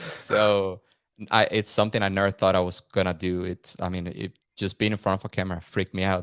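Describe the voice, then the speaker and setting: A man speaks at a very fast pace in a very deep, low voice with monotone, flat intonation, in a very clean recording with a silent background and a dry, close sound with no echo. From Venezuela, Caracas. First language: Spanish. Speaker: content creator. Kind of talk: podcast interview. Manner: casual, halting with repetitions.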